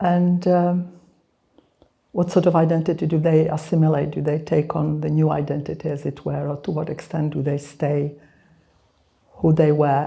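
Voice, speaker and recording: Speaking at a moderate pace with long, frequent pauses, a woman with a Serbo-Croatian accent has a very deep, low pitch, a dark, mellow, somewhat breathy tone and monotone, flat intonation. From Czechoslovakia (born Belgrade). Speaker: author. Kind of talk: book launch conversation. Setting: live event with audience. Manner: hesitant, many fillers.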